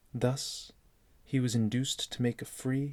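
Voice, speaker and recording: A man talks at medium pitch. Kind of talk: sleep story reading. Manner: slow.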